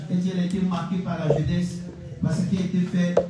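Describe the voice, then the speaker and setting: A man speaks in a high voice at a moderate pace. Strong room echo and noticeable background noise fill the recording. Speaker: pastor hosting the service. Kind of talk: church service, announcements and blessings. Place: church.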